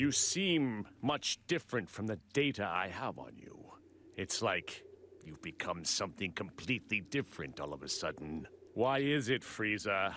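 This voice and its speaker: A man puts on a character voice, fairly low in pitch, and speaks at a moderate pace. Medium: video game. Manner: smug, analytical.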